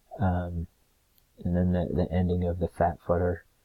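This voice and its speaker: A very deep, low male voice, somewhat breathy with a dark, mellow tone, on a very clean recording with a silent background. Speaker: student. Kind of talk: recorded class presentation. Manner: halting, many fillers.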